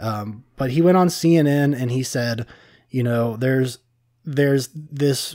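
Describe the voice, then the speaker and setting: A man with a Cincinnati accent, fairly high pitch, ordinary pitch variation and a dark, mellow tone. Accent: mild southern-sounding Cincinnati drawl. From Cincinnati, Ohio (US Midwest). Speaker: podcast co-host. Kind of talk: casual chat. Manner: halting, many fillers and restarts.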